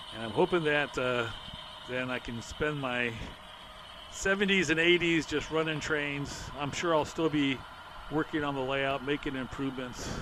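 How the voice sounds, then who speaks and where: Amid noticeable background noise, a man with a fairly high pitch talks at a moderate pace with ordinary pitch variation. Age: 60s. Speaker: model railroad hobbyist. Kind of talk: narrated layout tour. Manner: casual, with filler words.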